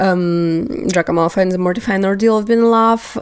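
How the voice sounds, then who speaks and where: This woman speaks with a non-native accent. Her pitch sits in the medium range. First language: not English. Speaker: book vlogger. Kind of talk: casual chat. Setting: home, on couch. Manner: hesitant, many fillers.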